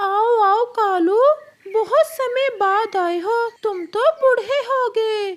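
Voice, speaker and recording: A cartoonish character voice with an extremely high pitch moves at a fairly slow pace. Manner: calm, friendly.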